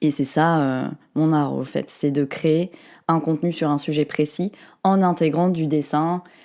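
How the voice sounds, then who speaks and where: A woman speaks in a very deep, low pitch with a dark, mellow tone, monotone, flat intonation and very even loudness, on a very clean recording with a silent background. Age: 30s. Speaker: artist and content creator. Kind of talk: casual interview chat.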